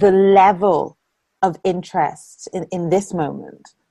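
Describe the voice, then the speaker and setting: A woman speaks at a very slow pace in an Irish accent. Her pitch is fairly low. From Ireland. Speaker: interviewer. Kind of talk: interview conversation.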